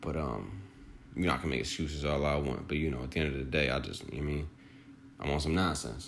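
Very fast speech with vocal fry runs along with fairly even intonation. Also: man. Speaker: podcast host. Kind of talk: solo motivational monologue.

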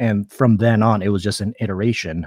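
The speaker has an American accent and a moderate pace. Intonation stays fairly even. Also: man. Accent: sounds American. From Philippines. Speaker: artist and calligrapher. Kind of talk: interview. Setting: remote live stream. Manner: halting, many fillers.

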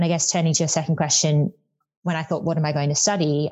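Speaking very fast with an Australian accent, a woman uses a very deep, low, somewhat breathy voice and fairly even intonation. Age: 20s. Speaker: tax consultant. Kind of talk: interview.

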